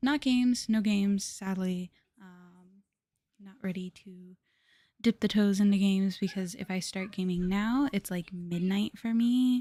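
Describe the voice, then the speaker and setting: This woman's voice has a dark, mellow tone and is somewhat breathy. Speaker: vtuber streamer. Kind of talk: casual live stream chat. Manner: halting, many fillers.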